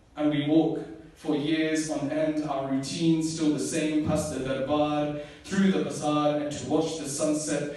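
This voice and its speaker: Against noticeable background noise, a man speaks slowly-ish, at a fairly slow pace, in a fairly high pitch with monotone, flat intonation. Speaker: spoken word poet. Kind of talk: spoken word poetry performance.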